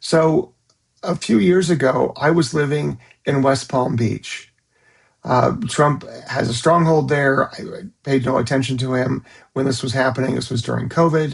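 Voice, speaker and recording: A man with an American accent speaks at a medium pitch in a somewhat breathy voice. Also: ordinary pitch variation, moderate pace. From California. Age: 60s. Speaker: psychologist. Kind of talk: direct-to-camera monologue. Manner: hesitant, with frequent fillers.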